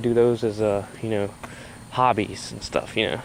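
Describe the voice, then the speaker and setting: Fairly quick and fairly even in intonation, a man with a Southern US accent speaks at a medium pitch over noticeable background noise. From US South, South Carolina. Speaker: vlogger. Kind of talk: casual vlog monologue. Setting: outdoors, walking at night. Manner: hesitant, many fillers.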